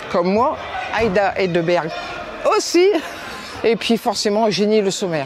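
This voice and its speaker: A woman at medium pitch talks fairly slowly with long, frequent pauses, her loudness very even and her intonation lively. Room echo is audible, and background noise is noticeable. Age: 60s. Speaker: retired amateur footballer. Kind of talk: interview testimony.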